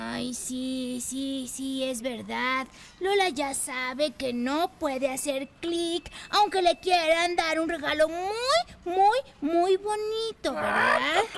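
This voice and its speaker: A cartoonish character voice with a high pitch moves at a very slow pace. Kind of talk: children's puppet show. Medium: puppet show. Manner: warm, effusive.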